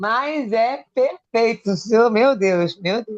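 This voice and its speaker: Against a quiet background, a woman talks at a fairly high pitch. Her pitch varies in an ordinary way. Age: 60s. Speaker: student. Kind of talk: class comment. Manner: animated.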